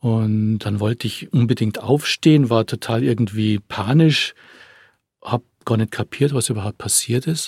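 With a dark, mellow tone and somewhat breathy delivery, a man of medium pitch speaks at a moderate pace with ordinary pitch variation in a dry, close sound with no echo. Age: 50s. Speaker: attack survivor. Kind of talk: testimony. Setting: studio.

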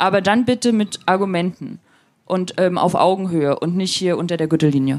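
An unremarkable speaking voice from a woman, mid-range in pitch, with ordinary pitch movement. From eastern Germany, Rostock. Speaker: online magazine editor-in-chief. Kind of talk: interview.

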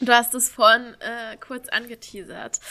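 A woman is talking here. The tone of her voice is bright and sharp. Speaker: podcast co-host. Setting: video call.

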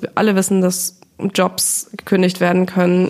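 This is a woman speaking at a medium pitch. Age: 30s. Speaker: finance journalist and podcaster. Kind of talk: interview.

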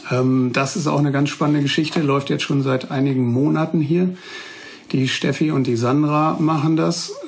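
A man's fairly high voice with ordinary pitch variation at a moderate pace, over noticeable background noise. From Westphalia, Münsterland (Germany). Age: 40s. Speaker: prosthetist, orthopedic technician master. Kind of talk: interview, casual chat.

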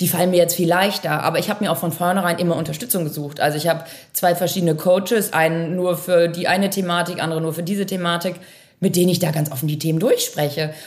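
With audible room echo, a woman speaks at a very fast pace in a fairly low voice with monotone, flat intonation. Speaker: managing director of a family software company. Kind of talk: interview.

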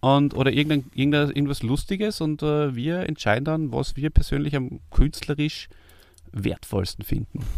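In a very clean recording with a silent background, a man with an unremarkable speaking voice speaks at a moderate pace, his fairly high pitch showing ordinary variation. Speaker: podcast host. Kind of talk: casual chat.

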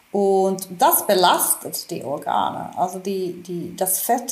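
There is noticeable background noise. Through it, a woman speaks at a medium pitch. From Finland. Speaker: physician. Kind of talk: interview. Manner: halting, many repetitions.

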